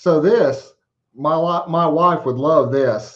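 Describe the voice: Over audible room echo, a man with a fairly high pitch speaks at a slow pace with ordinary pitch variation.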